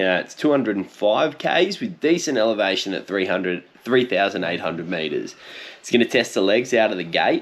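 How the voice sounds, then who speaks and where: A man's medium-pitched voice in an Australian accent, relaxed in tone, with lively intonation and a fairly quick pace. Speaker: cycling YouTuber. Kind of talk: casual commentary video. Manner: casual, relaxed.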